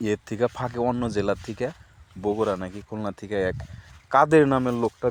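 Recorded with a dry, close sound with no echo, a man uses a normal speaking voice at a medium pitch with ordinary pitch variation. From Bangladesh, Manikganj. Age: 30s. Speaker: farmer and vlogger. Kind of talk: casual vlog narration. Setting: outdoors.

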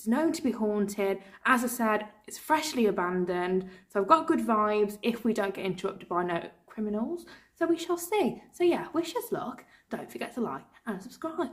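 A woman with very wide pitch swings and a somewhat breathy sound over a quiet background. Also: moderate pace. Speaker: paranormal investigator vlogger. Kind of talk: casual vlog chat. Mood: slightly nervous, playful. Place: empty room. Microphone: phone near.

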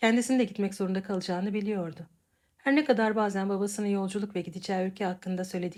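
Plain reading aloud in fairly even intonation comes over a quiet background.

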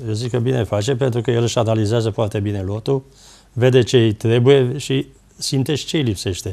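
A man speaks at a fairly quick pace with a medium pitch, a dark, mellow tone, and fairly even intonation against a quiet background. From Romania, Ploiești; Romania. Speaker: former footballer; guest, football commentator. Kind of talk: TV talk show interview. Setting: TV studio. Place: studio.

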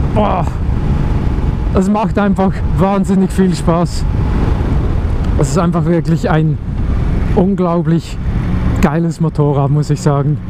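The delivery is very slow with long, frequent pauses, the sound dry with no echo and noticeable background noise present. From Switzerland. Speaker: motovlogger. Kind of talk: casual motorcycle vlog commentary. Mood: enthusiastic. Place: motorbike. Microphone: helmet.

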